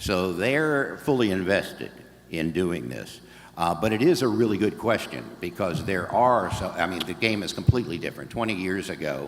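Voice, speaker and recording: Very deep and low, a man's voice carries vocal fry and very wide pitch swings at a moderate pace. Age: 70s. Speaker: audiobook narrator. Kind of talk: talk at a convention, then Q&A. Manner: halting, many fillers and restarts.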